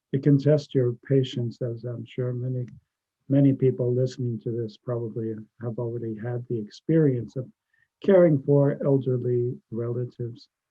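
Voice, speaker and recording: A man talks in a normal speaking voice at a medium pitch. He keeps a moderate pace and fairly even intonation. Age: 60s. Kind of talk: interview.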